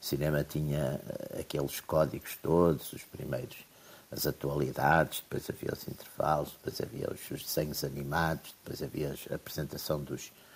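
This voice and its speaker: Vocal fry in a man's very deep, low voice at a moderate pace. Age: old. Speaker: political commentator. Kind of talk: casual chat.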